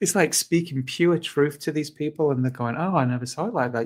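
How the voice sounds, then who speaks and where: A man speaks with a British accent. His pitch is fairly high, with ordinary variation. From northern England, Fleetwood near Blackpool. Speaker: animal rights activist. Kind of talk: casual chat. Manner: halting.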